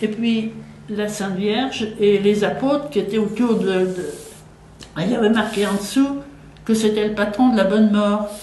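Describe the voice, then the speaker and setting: Audible room echo and noticeable background noise surround a woman speaking at a medium pitch. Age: 80s+. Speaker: war survivor, eyewitness. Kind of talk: interview testimony. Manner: halting, with fillers and repetitions.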